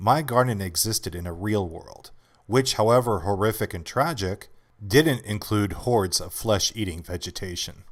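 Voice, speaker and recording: A man with a plain, everyday voice, fairly low pitch, ordinary pitch variation, big swings in loudness and a moderate pace, in a very clean recording with a silent background. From Canada. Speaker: voice actor. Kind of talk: audiobook essay narration.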